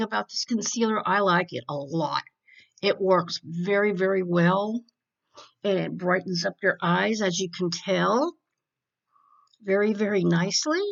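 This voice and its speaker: Here is a woman with an unremarkable speaking voice at a medium pitch. Her pitch varies in an ordinary way, and her pace is moderate. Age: 60s. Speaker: beauty vlogger. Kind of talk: makeup tutorial. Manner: casual, chatty.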